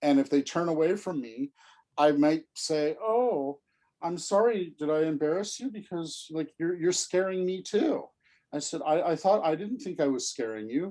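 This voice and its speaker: Using lively intonation, a man with a fairly high pitch speaks at a moderate pace. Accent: Californian. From Southern California. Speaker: special education expert. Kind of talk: lecture. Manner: repetitive stammering on words; softens voice when demonstrating.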